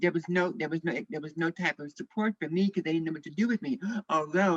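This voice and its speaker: A woman with an American accent and a normal speaking voice uses lively intonation at a fairly low pitch, captured as a dry, close sound with no echo. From US Midwest, St. Louis, Missouri. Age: 60s. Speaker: activist. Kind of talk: panel discussion testimony.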